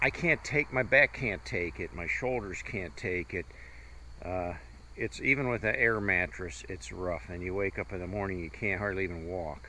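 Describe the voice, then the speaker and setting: With vocal fry and lively intonation, this man speaks at a very deep, low pitch. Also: moderate pace. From US Midwest, Ohio. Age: 60s. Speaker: travel vlogger. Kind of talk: casual chat.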